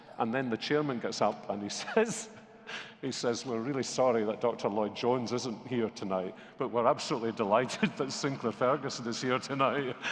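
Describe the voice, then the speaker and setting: Talking at a fairly quick pace, a man with a Scottish accent keeps his intonation fairly even. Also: medium pitch for a man. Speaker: pastor. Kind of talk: interview.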